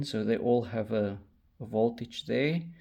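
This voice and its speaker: Vocal fry colors a man's medium-pitched voice, which shows ordinary pitch variation. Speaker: electronics hobbyist tutorial creator. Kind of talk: tutorial. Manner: slow, deliberate pace; hesitant, many fillers.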